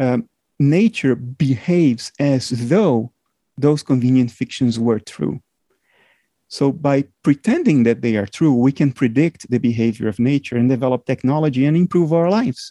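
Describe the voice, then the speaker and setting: This man has a non-native accent and a medium pitch with ordinary pitch variation. His tone is dark and mellow, his pace moderate, and the sound is dry and close with no echo against a quiet background. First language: not English. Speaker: philosopher and computer scientist. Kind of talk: interview. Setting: remote call.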